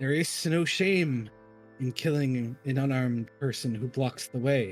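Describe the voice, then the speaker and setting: A man puts on a character voice at medium pitch and a moderate pace. Faint music plays in the background, along with hissing. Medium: actual play. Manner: terse, hissing.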